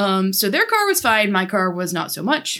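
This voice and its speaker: A woman speaks at a moderate pace in a bright, sharp tone with very wide pitch swings. The recording is very clean with a silent background. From Ohio. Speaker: podcast host. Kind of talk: casual chat.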